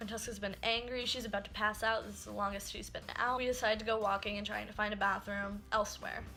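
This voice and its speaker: A woman's fairly high voice with vocal fry, racing at a very fast pace with hardly any pauses. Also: big swings in loudness. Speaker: YouTuber. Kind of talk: storytime vlog; bloopers. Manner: animated.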